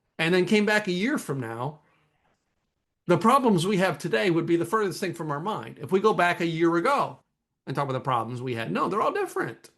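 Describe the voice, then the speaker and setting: Over a quiet background, a man speaks fairly quickly in a high pitch, with an animated tone and very wide pitch swings. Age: 50s. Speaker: entrepreneur and podcast host. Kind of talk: casual chat.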